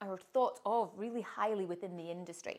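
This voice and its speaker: A woman speaks with a Scottish accent. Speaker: author and personal branding coach. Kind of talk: promotional monologue to camera.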